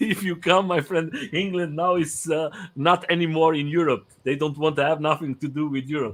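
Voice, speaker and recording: Speaking with a non-native accent, this man has a fairly high pitch and fairly even intonation, keeping a moderate pace with hardly any pauses. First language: not English. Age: 40s. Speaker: live stream host, interviewer. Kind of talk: casual interview chat. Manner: halting, many fillers and repeats.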